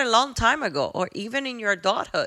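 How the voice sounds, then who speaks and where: A woman with a Spanish accent speaks in a bright, sharp tone at a moderate pace. Her intonation is lively, and the recording is very clean with a silent background. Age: 40s. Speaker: podcast host. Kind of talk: podcast monologue. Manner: heartfelt, reflective.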